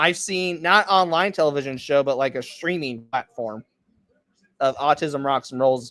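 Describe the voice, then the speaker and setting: The recording is dry and close, with no echo. A man's pitch varies in an ordinary way. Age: 20s. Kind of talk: casual interview chat.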